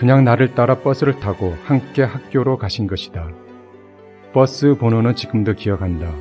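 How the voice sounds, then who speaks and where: Music plays in the background as a man talks at a moderate pace. His medium-pitched voice has lively intonation. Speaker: amateur author reading own life-story essay as audiobook. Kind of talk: audiobook reading of autobiographical essay.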